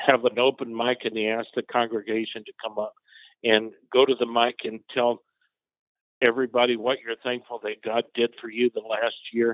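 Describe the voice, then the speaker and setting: This is a man talking. His pitch lands in the middle range. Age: 60s. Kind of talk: testimony.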